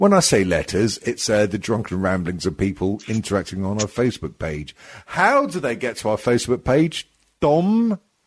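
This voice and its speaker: Speaking with an English accent at a moderate pace, a man uses a fairly low pitch that swings very widely. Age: 50s. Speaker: podcast host. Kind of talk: casual comedic banter. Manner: bantering, jokey.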